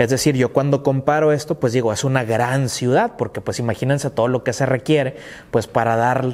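At a moderate pace and a medium pitch, a man talks in an ordinary speaking voice with fairly even intonation. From northern Mexico, Tecate, Baja California. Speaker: history teacher / podcaster. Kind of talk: educational lecture. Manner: informal, filler-heavy (eh, este, pues).

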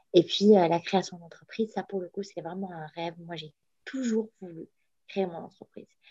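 A woman speaks in a dark, mellow tone, somewhat breathy, with fairly even intonation. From Morocco. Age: 30s. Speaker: entrepreneur. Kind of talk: interview. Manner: halting.

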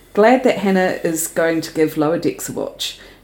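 A woman speaks in a New Zealand accent at a fairly quick pace. Her pitch variation is ordinary. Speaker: podcast co-host. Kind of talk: casual chat.

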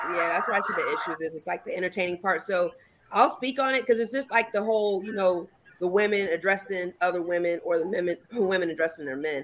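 Speaking very fast, a woman uses a medium pitch and ordinary pitch variation. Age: 40s. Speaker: podcast guest. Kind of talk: casual chat.

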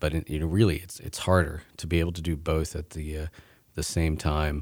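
This man's intonation stays flat and monotone. His voice sits very deep and low. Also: very clean recording, silent background. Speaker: film critic. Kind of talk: casual interview chat.

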